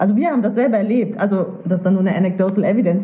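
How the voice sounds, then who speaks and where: A woman at a very fast pace, amid noticeable background noise and audible room echo. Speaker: co-founder of a critical thinking association. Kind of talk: interview conversation.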